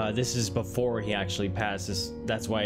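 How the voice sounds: Intonation is lively throughout. It is a natural reading voice.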